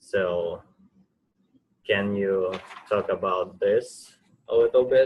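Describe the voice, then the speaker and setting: At a very slow pace, a man speaks with long, frequent pauses. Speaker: college student. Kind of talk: audience question. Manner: halting; quiet.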